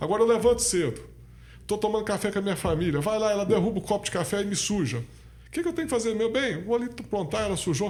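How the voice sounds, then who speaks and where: The speech rushes along at a very fast pace with lively intonation. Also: man, high pitch for a man. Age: 60s. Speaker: party president, businessman and lawyer. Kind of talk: podcast interview.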